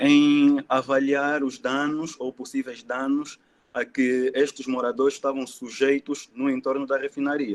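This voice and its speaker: A man with an Angolan accent, fairly high-pitched, fairly slow, in a flat monotone. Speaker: environmental engineer. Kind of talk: presentation.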